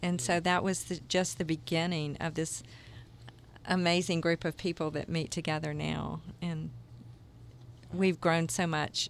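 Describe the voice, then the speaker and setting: Speaking with a Southern US accent, a woman with a fairly low pitch and vocal fry keeps a monotone, flat intonation at a fairly slow pace with long, frequent pauses. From US South, Jacksonville, Florida. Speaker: microchurch leader. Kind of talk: interview.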